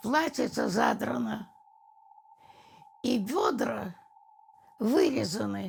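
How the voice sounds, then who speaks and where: Pausing long and often, a woman talks very slowly. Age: 80s+. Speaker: war veteran, siege of Leningrad survivor. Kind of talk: documentary interview answer.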